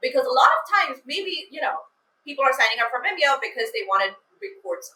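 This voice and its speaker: A woman with an extremely high pitch talks in a raised, projected voice at a very fast pace, her bright, sharp tone moving through very wide pitch swings and big swings in loudness. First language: not English. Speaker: email copywriter. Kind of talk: casual chat.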